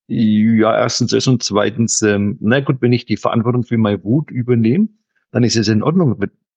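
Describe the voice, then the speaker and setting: This man's voice sits at a medium pitch, with ordinary pitch variation and very even loudness. He keeps a moderate pace, and the sound is dry and close with no echo. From Franconia, Germany. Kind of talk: casual chat.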